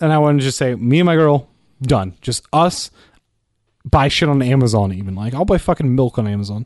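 In a quiet background, a man with an unremarkable speaking voice talks fairly quickly at a medium pitch, his intonation lively. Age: 20s. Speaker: podcast guest. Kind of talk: casual chat.

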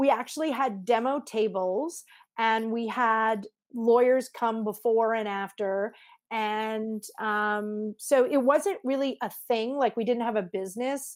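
In a very clean recording with a silent background, a woman with a Canadian accent uses an ordinary speaking voice at a fairly high pitch, talking at a fairly slow pace with fairly even intonation. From Canada, Montreal. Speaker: lawyer and legal tech entrepreneur. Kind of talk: interview.

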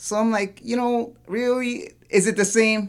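A man speaks with a Toronto accent. The recording is very clean, with a silent background. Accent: Canadian English, Toronto. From Toronto, Canada. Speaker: graffiti artist and tattoo shop owner. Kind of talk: casual chat.

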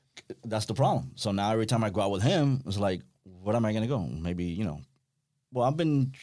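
A man's fairly low, dark and mellow voice at a very fast pace, with lively intonation. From Miami. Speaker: fishing industry professional. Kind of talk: casual chat. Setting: studio.

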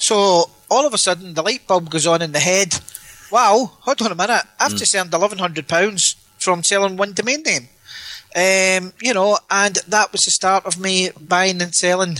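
In a Glaswegian accent, a man with a high pitch uses a raised, projected voice and ordinary pitch variation, the sound dry and close with no echo. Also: moderate pace. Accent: Glaswegian Scottish. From Scotland, Glasgow. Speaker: domain name investor. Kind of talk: interview. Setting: Skype call.

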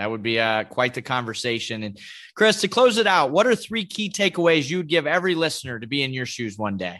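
Over a quiet background, a man talks at a fairly quick pace in a bright, sharp tone. His pitch swings very widely, and his loudness swings a lot too. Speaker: podcast host, sports sales professional. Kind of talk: interview podcast.

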